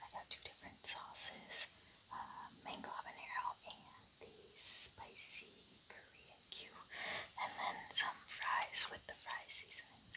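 Whispering, a woman talks at a fairly slow pace. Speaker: ASMR mukbang creator. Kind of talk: ASMR mukbang talk. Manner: soft whispered. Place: home room.

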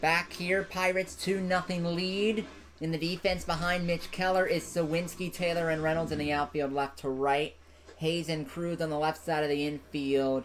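A man's fairly high-pitched voice with a fairly bright tone, little pitch movement and a moderate pace

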